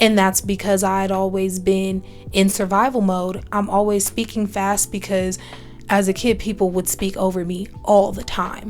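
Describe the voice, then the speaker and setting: With music in the background, a woman talks at a moderate pace in a medium pitch, her intonation monotone and flat. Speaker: solo podcast host. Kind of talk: self-help podcast monologue. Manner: casual, many fillers and restarts.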